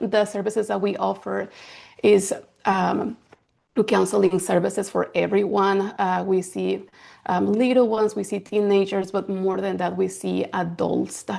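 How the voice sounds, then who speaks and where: A woman at a fairly slow pace against a quiet background. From Mexico City, Mexico; moved to US at 13. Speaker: counselor, founder of a counseling practice. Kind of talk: workshop presentation.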